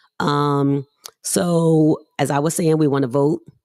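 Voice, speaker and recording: A woman's voice, very deep and low in pitch. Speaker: podcast host. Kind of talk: live stream chat. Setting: live stream outdoors. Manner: loud; animated.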